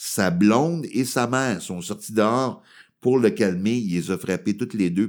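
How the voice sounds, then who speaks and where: Speaking with a Quebec accent, a man uses lively intonation and an animated tone on a very clean recording with a silent background. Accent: Québécois French. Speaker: comedian. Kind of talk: casual chat.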